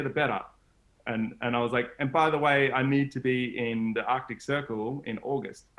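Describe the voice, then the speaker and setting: Speaking with an Australian accent, a man holds a medium pitch. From Australia, Gold Coast. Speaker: solar van traveler, adventurer. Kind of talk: casual interview chat.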